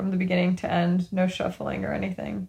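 At a moderate pace, a woman speaks in a somewhat breathy voice of medium pitch. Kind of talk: casual chat. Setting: remote recording from bedroom. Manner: giggly, laughs often.

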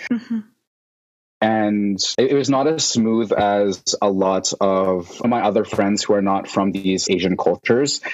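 A man with a Canadian accent has an unremarkable speaking voice, pitched fairly low with ordinary pitch variation. He talks at a fairly slow pace and keeps his loudness very even. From Vancouver, Canada. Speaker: sommelier and wine content creator. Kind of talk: interview conversation.

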